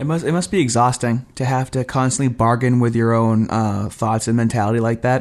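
In a very clean recording with a silent background, a man with an unremarkable speaking voice talks at a fairly quick pace with a medium pitch, fairly even intonation and hardly any pauses. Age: 30s. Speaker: podcast co-host. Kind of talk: casual podcast discussion.

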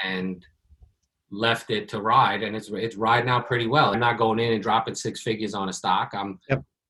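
This man has an unremarkable speaking voice with an American accent and a medium pitch. He talks at a moderate pace with fairly even intonation. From New York. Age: 40s. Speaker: podcast host, pest control business owner. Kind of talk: casual interview.

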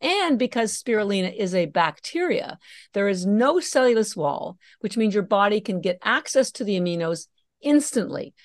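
Lively intonation runs through a normal speaking voice at a moderate pace. The sound is dry and close with no echo, over a quiet background. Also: woman. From Canada. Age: 60s. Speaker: company founder. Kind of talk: casual interview.

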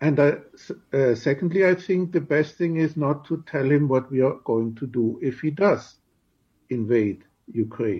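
A man with a German accent talks at a fairly slow pace in a somewhat breathy voice. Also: fairly high pitch for a man, ordinary pitch variation. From Germany. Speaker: diplomat. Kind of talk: radio interview.

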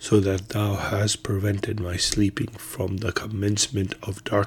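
The clip is of reading aloud in a natural voice. Nothing else stands out.

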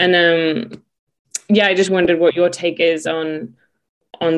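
A woman with a plain, everyday voice, fairly low in pitch, at a moderate pace with fairly even intonation. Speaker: podcast host. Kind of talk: casual interview chat.

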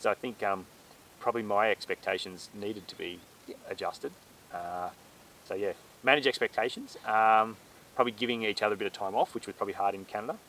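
A man's very fast speech in an Australian accent, with long, frequent pauses and big swings in loudness. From Australia, central tablelands of New South Wales. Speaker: farmer. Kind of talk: casual chat.

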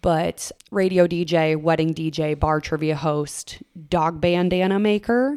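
Someone with an Upper Midwest accent speaks at a fairly slow pace with ordinary pitch variation. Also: woman, fairly low pitch for a woman. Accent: Upper Midwest American. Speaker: radio DJ. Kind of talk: casual chat.

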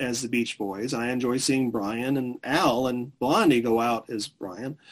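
At a fairly slow pace, a man with a medium pitch talks in a plain, everyday voice. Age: 40s. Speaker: music historian. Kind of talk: interview.

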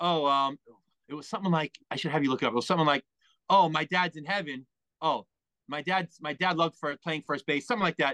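With a New York accent, a man talks at a fairly quick pace in a fairly high pitch, with a bright, sharp tone, ordinary pitch variation and a dry, close sound with no echo. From New York, Long Island (Merrick). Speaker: guest co-host, ex-wrestler and collector. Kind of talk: casual chat. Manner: low-energy.

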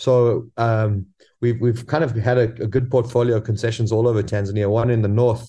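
Over a quiet background, a somewhat breathy man speaks at a fairly quick pace and medium pitch, with a dark, mellow tone and monotone, flat intonation. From South Africa. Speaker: professional hunter. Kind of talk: interview.

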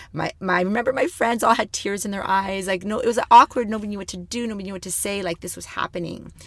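The speaker has a Canadian accent. The pace is very fast. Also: woman. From Thunder Bay, Ontario, Canada. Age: 40s. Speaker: cancer survivor and women's mentor. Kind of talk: interview.

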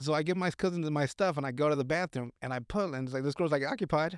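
Recorded very clean over a silent background with a dry, close sound and no echo, a man talks at a fairly high pitch and very fast pace with ordinary pitch variation. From Mexican-American, US. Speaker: podcast co-host. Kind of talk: casual chat. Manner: rambling, laughing often.

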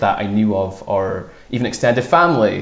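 A man speaks with music playing in the background. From northeast Scotland, Fraserburgh. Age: 20s. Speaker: sports reporter. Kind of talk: casual interview.

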